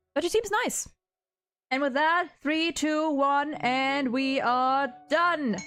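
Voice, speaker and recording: A bright, sharp tone at a very slow pace, with very even loudness and ordinary pitch variation. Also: woman, high pitch for a woman. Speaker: streamer. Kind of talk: casual chat. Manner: animated.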